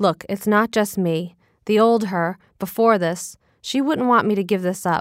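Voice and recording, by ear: The voice reads aloud naturally, its pitch shifting in an ordinary way. Little can be heard behind it.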